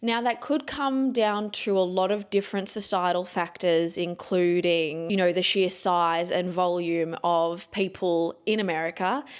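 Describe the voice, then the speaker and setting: A woman's medium-pitched voice with ordinary pitch variation and very even loudness, at a fairly slow pace with hardly any pauses. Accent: Australian. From Australia. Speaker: podcast host, former journalist. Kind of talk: casual chat. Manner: animated.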